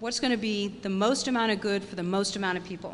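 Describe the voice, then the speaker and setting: The voice belongs to a woman. She talks very quickly. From New England (Maine). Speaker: state business chamber representative. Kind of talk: speech to an audience. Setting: event at a farmers market with audience.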